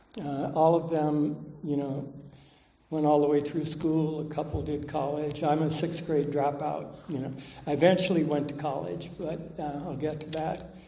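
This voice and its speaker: A fairly high-pitched man with an American accent at a moderate pace, monotone and flat, with audible room echo. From Southern California. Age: 70s. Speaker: recovering alcoholic speaker. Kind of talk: recovery talk testimony. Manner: casual, many fillers.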